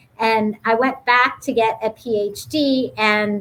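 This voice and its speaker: In a plain, everyday voice with an American accent, the speaker uses ordinary pitch variation. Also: woman. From Youngstown, Ohio. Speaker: business school dean. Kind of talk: panel interview.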